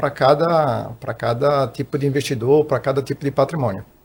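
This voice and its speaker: A somewhat breathy man with a fairly high pitch. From Recife, Pernambuco, northeast Brazil. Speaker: financial consultant and tax auditor. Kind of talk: podcast interview.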